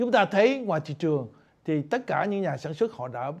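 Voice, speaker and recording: The voice swings very widely in pitch over a quiet background. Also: man. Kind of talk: lecture. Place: studio.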